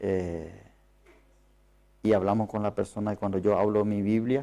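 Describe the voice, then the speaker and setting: This man has a fairly low pitch and a dark, mellow tone, and his intonation stays fairly even. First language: not Spanish (speaking Spanish). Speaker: preacher. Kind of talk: sermon. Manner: halting.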